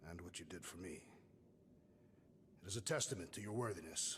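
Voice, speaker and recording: Over clear background noise, a man does a put-on character voice at a fairly quick pace with a very deep, low pitch. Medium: video game. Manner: blunt, solemn, literal.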